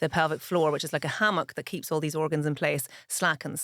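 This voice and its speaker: In a Northern Irish accent, a woman speaks at a fairly low pitch, the sound dry and close with no echo in a very clean recording with a silent background. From Ireland, Dublin (Dundrum), northern-accented parents. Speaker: pharmacist and author. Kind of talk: interview.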